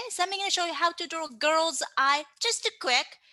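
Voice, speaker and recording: A woman with a Japanese accent projects a raised voice at an extremely high pitch, bright and sharp in tone. Her intonation is lively and her pace moderate. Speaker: manga artist and teacher. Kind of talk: tutorial. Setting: online class. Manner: animated.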